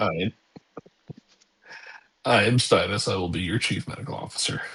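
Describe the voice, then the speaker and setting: A man puts on a raspy character voice at medium pitch and a moderate pace. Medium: actual play.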